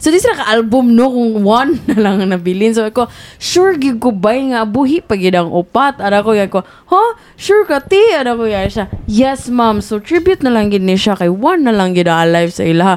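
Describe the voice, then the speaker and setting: A woman with a plain, everyday voice speaks at a fairly quick pace, her fairly high pitch carried by lively intonation. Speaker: podcast co-host. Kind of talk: casual chat.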